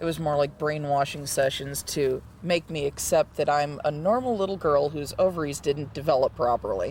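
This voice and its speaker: Somewhat breathy, a man talks at a moderate pace with hardly any pauses and ordinary pitch variation. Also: fairly high pitch for a man. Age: 30s. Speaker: intersex retreat participant. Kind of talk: testimony. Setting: retreat meeting.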